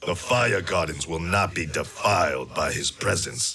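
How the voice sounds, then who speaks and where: A man in a put-on character voice talks with a very deep, low pitch at a moderate pace. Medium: video game. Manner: grave, formal.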